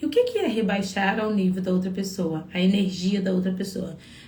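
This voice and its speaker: A somewhat breathy woman talks at a moderate pace. Room echo is audible. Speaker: psychologist giving relationship advice. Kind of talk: live stream talk to viewers. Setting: live stream.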